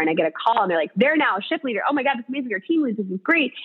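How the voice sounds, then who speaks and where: A woman speaks over music in the background. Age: 30s. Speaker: talent development executive. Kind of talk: interview. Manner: talkative.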